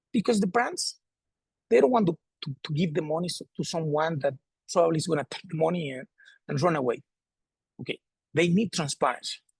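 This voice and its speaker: A Spanish-accented man with a high pitch, a fairly quick pace and long, frequent pauses, in a dry, close sound with no echo. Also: ordinary pitch variation. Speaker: sports federation president. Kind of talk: presentation. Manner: halting, repeats words.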